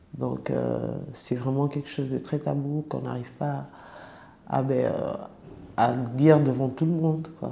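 Room echo is audible as a woman talks rather slowly. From francophone country abroad. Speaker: former sex worker. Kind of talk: personal testimony. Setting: around a table in an office. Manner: halting, many hesitations.

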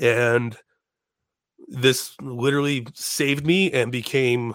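A man with an American accent uses a normal speaking voice at a medium pitch with ordinary pitch variation. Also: very clean recording, silent background. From Chicago. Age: 30s. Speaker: comedian and podcaster. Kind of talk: casual chat.

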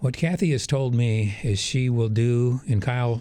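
Recorded very cleanly against a silent background, a man with an American accent speaks at a medium pitch in a dark, mellow tone that is somewhat breathy. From Wisconsin. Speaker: energy company executive. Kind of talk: radio interview.

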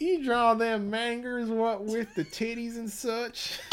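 Putting on a character voice, a man speaks at an extremely high pitch, nasal and at a fairly slow pace, with fairly even intonation and light background noise.

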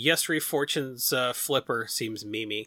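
On a very clean recording with a silent background, a man with a Rust Belt accent speaks very slowly at a medium pitch with ordinary pitch variation and a bright, sharp tone. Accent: Rust Belt Midwestern. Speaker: Magic card game content site lead. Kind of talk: casual chat.

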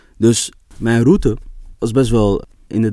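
A man speaks at a medium pitch. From Amsterdam, Netherlands. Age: 20s. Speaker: storytelling coach and photographer. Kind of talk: interview.

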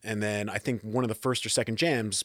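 A plain, everyday voice from a man, pitched at a medium level and moving rather quickly. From New Jersey. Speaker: keyboardist and producer. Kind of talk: casual interview.

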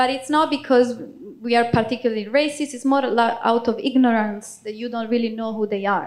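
Speaking with an Italian accent, a woman keeps a fairly quick pace. Her pitch is fairly high and her intonation fairly even. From Italy. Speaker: refugee volunteer. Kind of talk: testimony.

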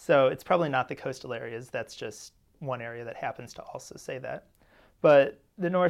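A man with an unremarkable speaking voice, fairly high in pitch, ordinary pitch variation, fairly slow pace, very clean recording with a silent background. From St. Louis, US Midwest. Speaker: linguistics graduate student. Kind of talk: expert analysis.

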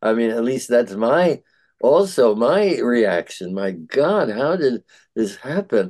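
A man at medium pitch, very slow, with very wide pitch swings over a quiet background. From Bronx, New York. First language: Yiddish. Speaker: retired English professor and Yiddish translator. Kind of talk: casual interview conversation. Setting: video call. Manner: halting, with many fillers.

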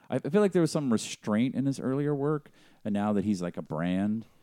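With an American accent and a dark, mellow tone, a man talks at a moderate pace with very wide pitch swings, recorded very cleanly against a silent background with dry, close sound and no echo. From Boston, US. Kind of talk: casual chat.

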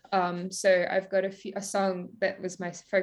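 With an Australian accent, a woman talks at a moderate pace in a medium pitch and a monotone, flat intonation. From Victoria, Australia. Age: 20s. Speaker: singer-songwriter. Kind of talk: casual interview.

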